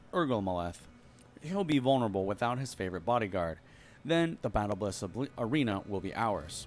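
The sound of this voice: The intonation moves in a lively way. It comes from an unforced reading voice.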